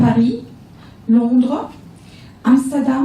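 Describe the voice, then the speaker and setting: A woman's high-pitched, monotone voice at a very slow pace, with audible room echo and noticeable background noise. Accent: German. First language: German (speaking French). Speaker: economic development representative. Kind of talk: business presentation. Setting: round table panel with audience. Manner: halting, hesitant.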